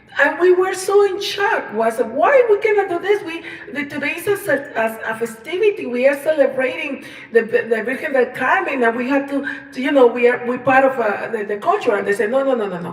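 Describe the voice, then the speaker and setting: Against noticeable background noise, a woman speaks fairly quickly in a high voice with very wide pitch swings. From Colombia. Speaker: singer-songwriter. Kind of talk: personal storytelling livestream. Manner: halting, many fillers and repetitions.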